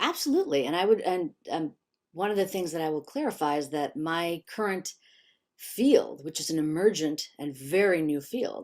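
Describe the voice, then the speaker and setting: Using lively intonation, a woman with an American accent and a fairly low pitch is heard in a very clean recording with a silent background. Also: moderate pace. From US Midwest, Chicago suburbs. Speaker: neuroscientist and author. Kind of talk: interview conversation.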